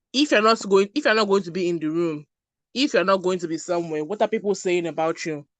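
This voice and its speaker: This woman speaks with a Nigerian accent at a medium pitch. Her intonation is lively. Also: quiet background. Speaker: brand strategist. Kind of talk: online masterclass talk.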